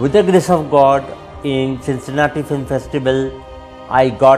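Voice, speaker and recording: A man talks at a fairly slow pace while faint music sits in the background. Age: 40s. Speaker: radio jockey, actor, author. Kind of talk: interview answer. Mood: grateful, hopeful. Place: home room. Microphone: headset.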